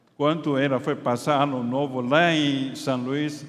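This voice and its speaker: Amid audible room echo, a man speaks at a very slow pace with fairly even intonation and a fairly high pitch. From Taiwan. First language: Chinese (speaking Portuguese). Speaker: pastor and doctor. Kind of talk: sermon. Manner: halting.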